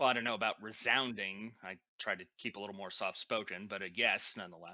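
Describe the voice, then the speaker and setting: A man rattles off lines at a very fast pace in a put-on character voice. The voice is raspy and fairly low. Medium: actual play. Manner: soft-spoken.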